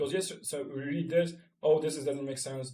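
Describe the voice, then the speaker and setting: A man speaks at a fairly high pitch and a fairly quick pace. His voice is somewhat breathy. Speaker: marketing tutorial creator. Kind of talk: screen-share tutorial. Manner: fast; filler-heavy, halting.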